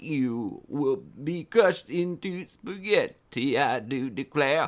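Putting on a character voice, a man speaks at a fairly slow pace and a fairly high pitch.

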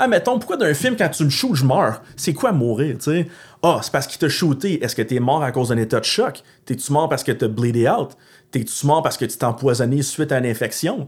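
A man's fairly high, somewhat breathy voice with lively intonation and a fairly quick pace, on a very clean recording with a silent background. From Gatineau, Outaouais, Quebec. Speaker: post-apocalyptic enthusiast and larp organizer. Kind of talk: casual chat.

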